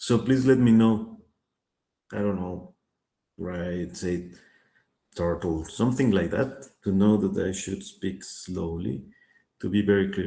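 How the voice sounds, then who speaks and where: A man with a Spanish accent speaks at a very slow pace in a dark, mellow tone, his fairly low pitch showing ordinary variation, with long, frequent pauses and audible room echo. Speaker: finance teacher. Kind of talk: online lecture. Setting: video call. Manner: hesitant, many fillers.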